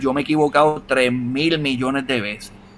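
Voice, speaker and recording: A man is talking. Background noise can clearly be heard. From Puerto Rico, Utuado. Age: 30s. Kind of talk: casual interview. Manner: animated.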